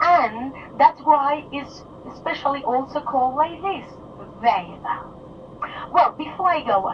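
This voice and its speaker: Against noticeable background noise, a woman speaks at a fairly slow pace with a high pitch, lively intonation and long, frequent pauses. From Mallorca, Spain (Palma). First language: Mallorquin Catalan / Spanish. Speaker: tour guide. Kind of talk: guided tour commentary. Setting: on a tour bus. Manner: halting, many fillers and restarts; enthusiastic, talkative.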